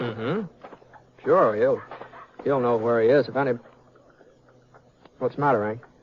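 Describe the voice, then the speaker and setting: Against noticeable background noise, a man with an American accent speaks at a moderate pace and medium pitch, his intonation fairly even and his speech marked by long, frequent pauses. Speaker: actor. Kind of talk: radio drama dialogue.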